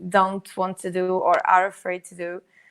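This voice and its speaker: A woman talks at a moderate pace and medium pitch. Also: very clean recording, silent background. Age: 20s. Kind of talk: interview answer. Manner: casual, hesitant.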